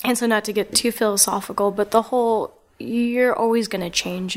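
This woman has a normal speaking voice with an American accent and a medium pitch. She talks at a moderate pace with fairly even intonation. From New Jersey, Lawrenceville. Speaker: artist. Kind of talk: casual chat. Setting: artist's studio.

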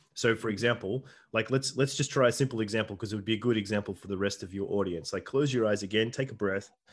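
The speaker has an Australian accent and ordinary pitch variation. The background is quiet. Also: man. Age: 40s. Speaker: shaman and men's coach. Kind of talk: casual interview chat; guided meditation inviting listeners to close eyes and recall a memory. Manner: hesitant, filler-heavy, repeats words.

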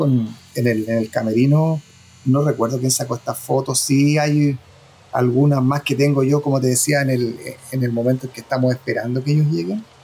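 Man's medium-pitched, unremarkable speaking voice, fairly quick, with ordinary pitch variation. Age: 50s. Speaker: former record label press officer. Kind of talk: interview.

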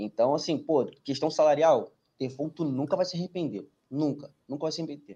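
Speaking at a moderate pace, a man has a dark, mellow tone. His pitch is fairly high, with ordinary variation. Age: 20s. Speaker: merchant navy engineer and exam tutor. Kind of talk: casual chat. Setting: live stream.

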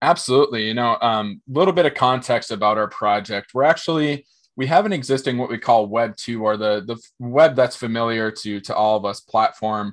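A man's medium-pitched voice with an American accent, fairly quick with hardly any pauses, ordinary pitch variation, and a quiet background. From small-town Minnesota, US. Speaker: tech company executive. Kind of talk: interview.

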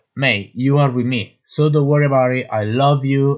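A man speaks with an Italian accent. He goes at a fairly slow pace. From Naples, Italy. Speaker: actor. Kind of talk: personal testimony monologue.

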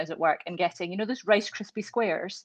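A woman with a Glasgow accent speaks with fairly even intonation. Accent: Scottish, Glasgow. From Scotland, Glasgow. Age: 40s. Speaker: intensive care doctor. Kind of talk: casual chat. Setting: at home.

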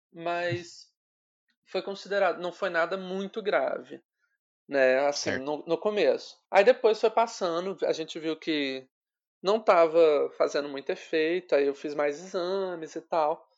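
The loudness swings widely. Pitch variation is ordinary. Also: man. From Rio de Janeiro state interior, Volta Redonda. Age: 20s. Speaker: journalist. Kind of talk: casual interview.

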